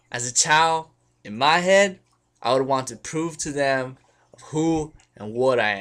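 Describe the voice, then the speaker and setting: A man's fairly high, bright, sharp voice at a fairly slow pace, with lively intonation on a very clean recording and a silent background. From Los Angeles area, California. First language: Spanish. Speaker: student filmmaker. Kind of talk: personal narration.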